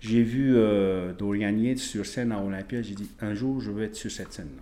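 A man talks at a moderate pace. He uses an ordinary speaking voice with ordinary pitch variation. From French Polynesia. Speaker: strength athlete and naturopath. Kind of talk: casual interview.

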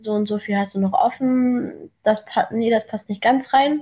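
A woman speaks at a very slow pace with fairly even intonation. Her voice is somewhat breathy. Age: 20s. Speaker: coaching client. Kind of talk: casual chat.

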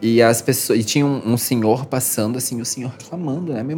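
A woman with a very deep, low pitch talks at a moderate pace amid noticeable background noise. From Santa Catarina, southern Brazil (Jaraguá do Sul). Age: 30s. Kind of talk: interview.

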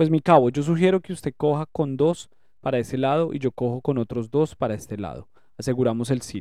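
A man speaks at a fairly quick pace in a dark, mellow tone. The sound is dry and close, with no echo. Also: medium pitch for a man, ordinary pitch variation. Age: 40s. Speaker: war veteran. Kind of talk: testimony.

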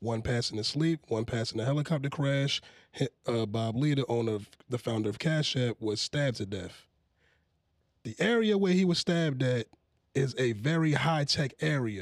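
A man with an ordinary speaking voice, medium pitch and lively intonation, in a dry, close sound with no echo on a very clean recording with a silent background. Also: moderate pace. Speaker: podcast host. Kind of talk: casual banter podcast.

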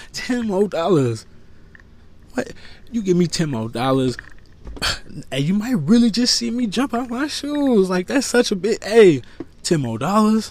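With a high pitch, very wide pitch swings and an animated tone, a man speaks at a moderate pace, leaving long, frequent pauses. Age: 30s. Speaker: podcast host. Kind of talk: casual monologue.

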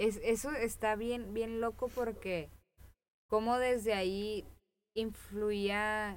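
With a Mexican accent, a woman talks at a very slow pace in a monotone, flat intonation, her loudness very even throughout. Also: fairly high pitch for a woman. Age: 20s. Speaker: podcast co-host. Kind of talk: casual chat.

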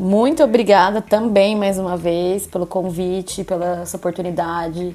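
With a dark, mellow tone, a woman talks at a medium pitch using fairly even intonation. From interior of São Paulo state, Brazil. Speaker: podcast host. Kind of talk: casual chat.

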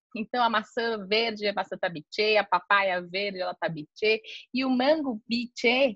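A woman with an unremarkable speaking voice talks at a moderate pace with ordinary pitch variation against a quiet background. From Brazil, São Paulo. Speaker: travel agency owner. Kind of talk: casual interview.

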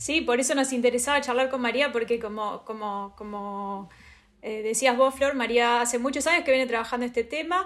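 A woman speaks with a Rioplatense accent at a moderate pace. Her pitch is high, with ordinary pitch variation. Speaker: podcast host, researcher. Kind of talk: interview.

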